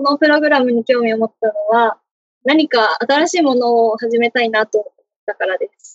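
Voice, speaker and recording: Speaking at a moderate pace, a woman has a high pitch with ordinary pitch variation and big swings in loudness. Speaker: university student. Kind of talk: interview.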